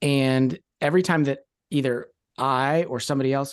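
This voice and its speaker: With an American accent, this man has an unremarkable speaking voice at a medium pitch, fairly even intonation, and a quiet background. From Kentucky, US (Louisville). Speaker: Enneagram coach and ministry founder. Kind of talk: interview.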